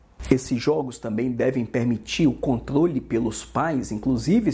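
The voice has vocal fry and a dark, mellow tone, moving at a moderate pace with ordinary pitch variation. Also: man. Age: 50s. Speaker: law teacher. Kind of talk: lecture. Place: home room. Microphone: lapel.

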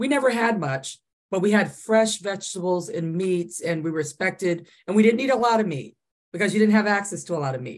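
Against a quiet background, a woman with an American accent talks at a fairly quick pace with ordinary pitch variation. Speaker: audience participant; panelist. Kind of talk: casual chat. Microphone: video call.

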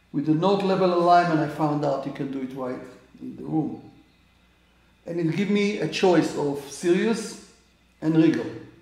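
A man's fairly high pitch with ordinary pitch variation and a moderate pace, plus audible room echo. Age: 80s+. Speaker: amateur astronomer. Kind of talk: tutorial. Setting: indoors at home. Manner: halting. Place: home room. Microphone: camera far.

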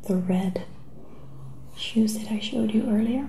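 A soft-spoken woman amid noticeable background noise. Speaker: shoe seller. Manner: soft-spoken, hushed ASMR voice. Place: home room. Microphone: webcam.

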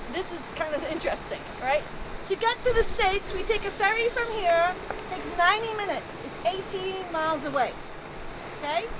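Loud background noise behind a woman talking at a moderate pace. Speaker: tour guide. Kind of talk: tour guide commentary. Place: street.

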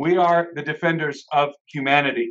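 A man speaks with a fairly high pitch at a fairly slow pace. The background is quiet. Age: 30s. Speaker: conference speaker and author. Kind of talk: casual panel discussion. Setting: video call. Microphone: video call.

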